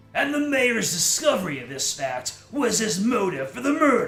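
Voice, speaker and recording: A man's put-on character voice, gruff and high-pitched, with very wide pitch swings, a moderate pace and faint music in the background. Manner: dramatic, narrating a mystery.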